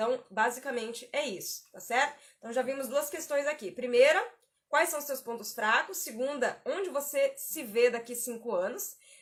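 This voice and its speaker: This woman's voice sits high and moves with lively intonation. She keeps a moderate speed. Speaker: career coach. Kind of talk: live stream tutorial. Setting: live stream. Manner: conversational, repetitive.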